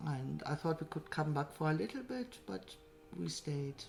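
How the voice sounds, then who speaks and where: A woman's very deep, low voice, somewhat breathy. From Germany, near Cologne. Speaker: interviewee. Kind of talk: documentary interview.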